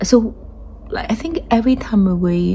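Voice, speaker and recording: Against noticeable background noise, a woman speaks at a fairly slow pace with a strong Chinese accent. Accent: heavy Chinese accent in English. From China. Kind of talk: casual talk to camera. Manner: hesitant, many fillers.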